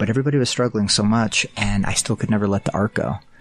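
Here is a man with an American accent and a plain, everyday voice. His pitch is fairly low and varies in an ordinary way. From small-town Utah. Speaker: artist. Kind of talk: interview.

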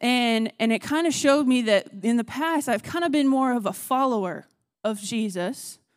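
A woman speaks at a moderate pace with an American accent. Her pitch is high, with ordinary variation. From Texas.

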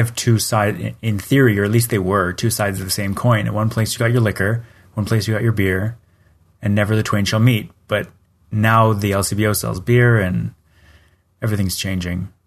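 Over a quiet background, a man with a Canadian accent talks at a fairly quick pace in a fairly low pitch, his intonation fairly even and an unremarkable speaking voice. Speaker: podcast co-host. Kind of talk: casual chat.

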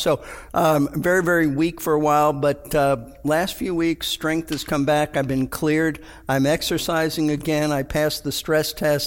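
This man's fairly high voice stays monotone and flat as he talks at a moderate pace. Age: 70s. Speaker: pastor. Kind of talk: casual chat.

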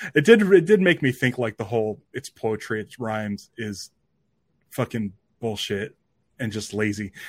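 A man with a plain, everyday voice at medium pitch speaks with big swings in loudness, the sound dry and close with no echo. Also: ordinary pitch variation, moderate pace. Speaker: podcast host. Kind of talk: casual chat.

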